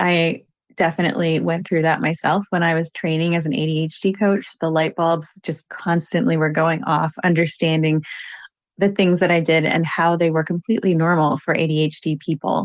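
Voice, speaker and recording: This woman has an American accent and a normal speaking voice. She talks at a moderate pace with a fairly low pitch. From Virginia, US. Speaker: ADHD coach. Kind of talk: interview.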